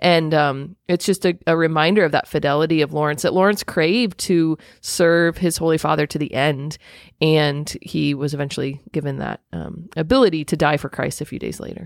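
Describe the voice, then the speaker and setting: In a slight Southern accent, a woman speaks at a very deep, low pitch with ordinary pitch variation and a moderate pace. The recording is very clean, with a silent background and a dry, close sound with no echo. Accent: slight southern twang. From US Midwest (Indiana). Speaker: podcast co-host. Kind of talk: casual chat.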